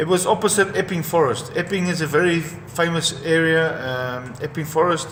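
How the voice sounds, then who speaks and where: Someone with a South African accent speaks at a moderate pace with hardly any pauses and ordinary pitch variation, over noticeable background noise. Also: man, fairly high pitch for a man. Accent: South African (Afrikaans) English. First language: Afrikaans. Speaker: former professional boxer. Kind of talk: personal testimony. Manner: halting, with repetitions.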